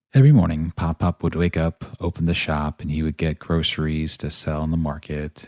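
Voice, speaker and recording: Over a silent background in a very clean recording, a soft-spoken man with an American accent talks at a moderate pace in a very deep, low, dark and mellow voice with a dry, close sound and no echo. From northern Virginia, US. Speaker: podcast host and actor. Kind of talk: personal storytelling monologue.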